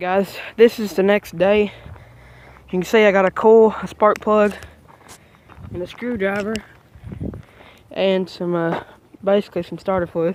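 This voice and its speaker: A man talks at a fairly slow pace and a high pitch, with fairly even intonation. Long, frequent pauses break his speech, and there is noticeable background noise. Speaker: small engine repair vlogger. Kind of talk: casual vlog tutorial.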